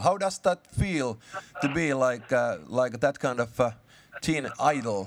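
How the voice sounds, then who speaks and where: A man with a Finnish accent speaks in a fairly high pitch with ordinary pitch variation over noticeable background noise. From Finland. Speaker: radio host. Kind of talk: phone interview.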